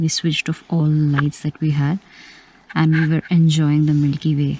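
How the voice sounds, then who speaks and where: Soft-spoken, with a Bengali accent, a woman talks at a moderate pace in a very deep, low pitch and a dark, mellow tone, with long, frequent pauses and a dry, close sound with no echo. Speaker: travel vlogger. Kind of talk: vlog narration. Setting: outdoors at night. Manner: soft-spoken, low volume.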